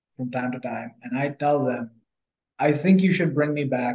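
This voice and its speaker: Somewhat breathy speech carries lively intonation. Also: man. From India. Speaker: political party policy chair. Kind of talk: podcast interview. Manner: conversational with frequent fillers.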